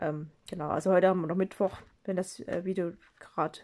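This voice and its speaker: The voice has a dark, mellow tone and fairly even intonation. It moves at a fairly quick pace. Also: woman. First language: not German (speaking German). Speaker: craft video creator. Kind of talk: tutorial. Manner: halting. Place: home room. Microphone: phone near.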